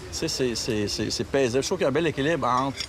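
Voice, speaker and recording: Noticeable background noise and audible room echo around a man talking. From Quebec. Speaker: travel agency owner. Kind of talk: casual interview. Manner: halting, many repetitions and false starts.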